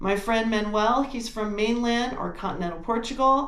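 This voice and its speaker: A woman's fairly high voice comes through with audible room echo and noticeable background noise. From United States. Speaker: travel and genealogy channel host. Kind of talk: video presentation and interview. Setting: video call.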